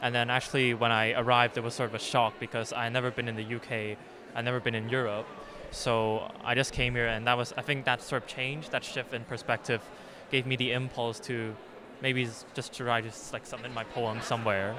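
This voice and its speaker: At a fairly quick pace, a man speaks in a medium-pitched voice with monotone, flat intonation. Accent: Cantonese. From Hong Kong. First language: Cantonese. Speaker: poet. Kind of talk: interview. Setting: festival. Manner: halting.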